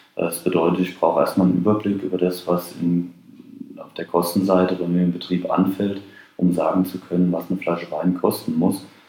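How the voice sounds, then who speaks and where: Fairly quick, monotone, flat delivery over noticeable background noise. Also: man, very deep, low pitch for a man. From Rheinhessen, Germany. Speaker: wine marketing expert and lecturer. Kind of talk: interview. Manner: hesitant with fillers.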